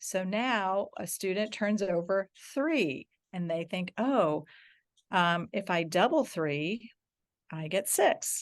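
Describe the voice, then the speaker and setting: A woman's medium-pitched voice at a very slow pace, with ordinary pitch variation and a quiet background. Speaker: math education presenter. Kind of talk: online workshop presentation. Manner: hesitant with fillers.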